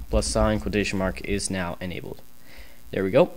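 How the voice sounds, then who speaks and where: A man's very deep, low voice with vocal fry and audible room echo. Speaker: programming tutorial youtuber. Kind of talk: tutorial. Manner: fast.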